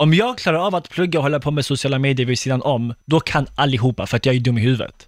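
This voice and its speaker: A man at a very fast pace with a fairly high pitch, ordinary pitch variation and hardly any pauses, on a very clean recording with a silent background. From Skåne, southern Sweden. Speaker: YouTuber and TV presenter. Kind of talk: podcast interview.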